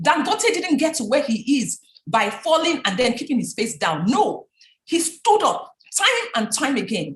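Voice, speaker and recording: Animated and high-pitched, a woman speaks with a Nigerian accent and very wide pitch swings. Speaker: business founder and speaker. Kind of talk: talk.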